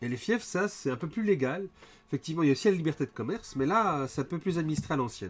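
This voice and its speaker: His speech races along very fast. This man's pitch moves through very wide swings. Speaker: game designer and livestream host. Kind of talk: livestream presentation. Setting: live stream with chat.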